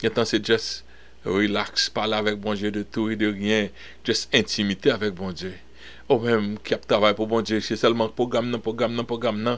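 A man speaks at a fairly slow pace. His fairly low voice stays in monotone, flat intonation. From Haiti. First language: Haitian Creole (speaking French). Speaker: pastor. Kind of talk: bible study teaching. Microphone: webcam.

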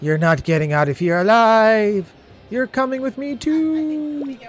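Putting on a character voice, a man speaks at a high pitch with very wide pitch swings. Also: fairly slow pace. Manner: creepy, threatening.

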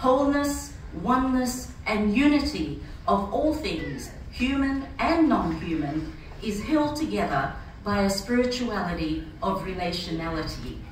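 Speaking at a fairly slow pace, a woman swings her pitch very widely amid audible room echo and light background noise. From Fiji, Rotuman. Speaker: church speaker. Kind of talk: prepared speech. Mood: earnest, reflective. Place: hall. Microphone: camera far.

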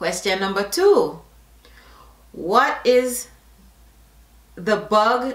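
A woman with a Jamaican accent at a very slow pace, with audible room echo and a quiet background. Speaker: YouTuber doing an accent tag video. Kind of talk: casual, slips into Jamaican Patois. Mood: playful, upbeat.

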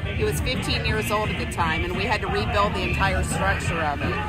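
Over loud background music, a woman speaks at a fairly quick pace. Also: dry sound with no echo. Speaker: travel vlogger. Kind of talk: casual vlog chat. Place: boat. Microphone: phone near.

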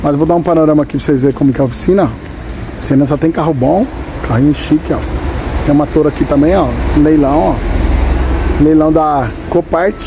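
Noticeable background noise sits behind a man's voice. He talks at a fairly quick pace with very even loudness. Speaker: vlogger car buyer. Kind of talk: casual vlog chat. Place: workshop. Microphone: phone near.

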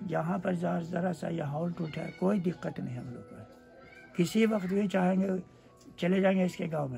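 A man speaks at a fairly slow pace with a high pitch. Faint music plays in the background. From Bihar, India. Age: 80s+. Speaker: villager recalling 1946 riots. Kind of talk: interview answer. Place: home room. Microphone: phone near.

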